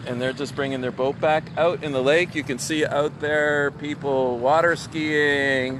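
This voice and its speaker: Over noticeable background noise, a man with a fairly high pitch speaks fairly slowly in a monotone, flat intonation, the sound dry with no echo. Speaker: rabbi and video blogger; vlog host. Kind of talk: casual walk-and-talk vlog. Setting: outdoors by a lake. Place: waterside. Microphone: phone near.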